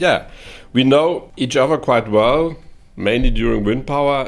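With a German accent, a man talks at a moderate pace using lively intonation, on a very clean recording with a silent background. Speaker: corporate podcast host. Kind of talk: interview.

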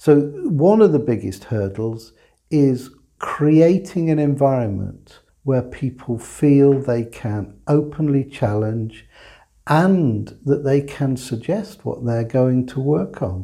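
A man with an English accent, very slow pace and lively intonation. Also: medium pitch for a man. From England. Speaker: supply chain executive. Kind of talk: interview.

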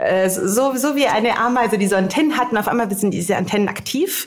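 A woman speaks at a moderate pace with lively intonation. Noticeable background noise runs under her voice. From grew up internationally: Cairo, Finland (Helsinki). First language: Italian/English (German learned at 13) (speaking German). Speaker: innovation strategist. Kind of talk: casual interview. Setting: on location at hackathon.

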